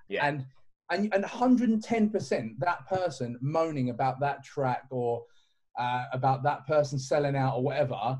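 A man's fairly high, somewhat breathy voice with lively intonation at a moderate pace. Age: 30s. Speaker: clothing brand owner. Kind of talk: casual chat.

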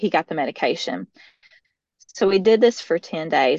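With a Middle Tennessee accent, a woman speaks at a moderate pace and medium pitch with lively intonation, the sound dry and close with no echo. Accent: Southern, Middle Tennessee. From US South. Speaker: mother sharing testimony. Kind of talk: testimony.

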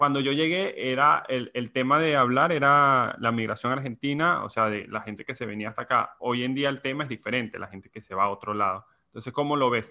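A man with a bright, sharp tone speaks at a fairly quick pace with hardly any pauses, his medium pitch showing ordinary variation. His loudness swings widely, and the recording is very clean with a silent background. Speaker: podcast host and content creator. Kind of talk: casual interview chat.

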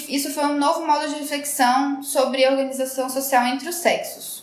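A woman's high-pitched voice at a moderate pace, with noticeable background noise and audible room echo. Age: 30s. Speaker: podcast co-host, journalist. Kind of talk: casual chat.

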